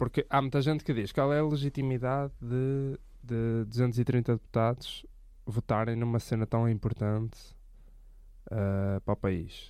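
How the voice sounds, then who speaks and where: The tone is dark and mellow, with fairly even intonation, very even loudness and a fairly slow pace. The recording is very clean, the background silent. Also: man, medium pitch for a man. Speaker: podcast co-host. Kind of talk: casual chat.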